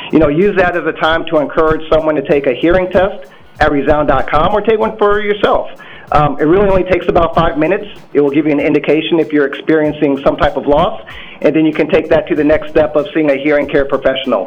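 Over noticeable background noise, a man with an American accent speaks very fast at a fairly high pitch with ordinary pitch variation. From Iowa. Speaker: company director. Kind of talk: radio interview. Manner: hesitant with fillers.

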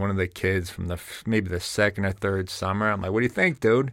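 A man in a New Jersey accent speaks with a fairly low pitch and fairly even intonation. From North Jersey, Bergen County. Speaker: fitness business founder and strength coach. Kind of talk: interview conversation. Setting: studio.

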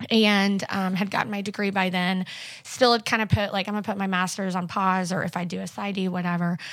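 Speaking at a fairly quick pace with a Missouri accent, a woman keeps a medium pitch and monotone, flat intonation. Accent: Midwestern American (Missouri). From southwest Missouri. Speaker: church staff member. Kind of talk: casual interview.

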